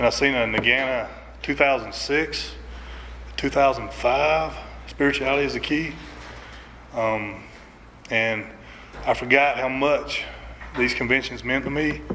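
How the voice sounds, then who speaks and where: Spoken at a fairly slow pace with long, frequent pauses, the voice carries a strong Southern US accent over noticeable background noise and audible room echo. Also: man. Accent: strong Southern country. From North Georgia, US. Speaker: recovery speaker. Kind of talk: recovery testimony. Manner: halting, many fillers.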